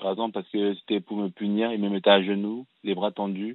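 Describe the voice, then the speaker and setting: With monotone, flat intonation, a man speaks at a moderate pace in a fairly low pitch. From France (raised from age six, born in Cameroon). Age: 30s. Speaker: fashion designer and film director. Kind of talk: testimony. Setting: radio call-in show.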